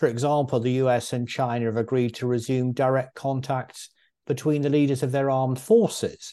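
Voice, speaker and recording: Talking at a fairly quick pace, a man has an ordinary speaking voice at a medium pitch. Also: quiet background. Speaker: podcast host. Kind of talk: interview. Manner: formal.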